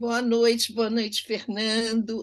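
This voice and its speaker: In a plain, everyday voice, a woman talks fairly slowly at a fairly high pitch. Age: 60s. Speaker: talk show host. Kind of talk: casual chat.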